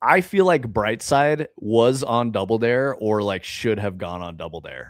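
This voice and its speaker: A man with an American accent, lively intonation, a fairly slow pace and big swings in loudness, in a dry sound with no echo over a quiet background. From United States. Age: 40s. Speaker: game developer livestreamer; game developer streamer. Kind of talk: casual livestream chat. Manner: casual, profane. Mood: relaxed, joking. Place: home room.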